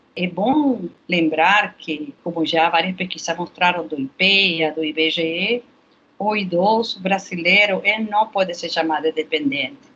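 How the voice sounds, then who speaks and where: A woman with a Spanish accent speaks at a fairly slow pace. Her fairly low voice has ordinary pitch variation. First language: Spanish (speaking Portuguese). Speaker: health researcher. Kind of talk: interview. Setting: remote recording.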